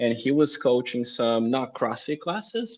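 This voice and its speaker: A man is speaking. He has a Brazilian accent. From southern Brazil (Blumenau). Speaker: CrossFit coach. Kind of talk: casual interview.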